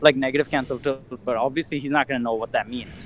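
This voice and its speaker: A man in a Curaçao accent at a fairly quick pace. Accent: Curacao. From Curacao. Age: 20s. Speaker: caller. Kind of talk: casual chat.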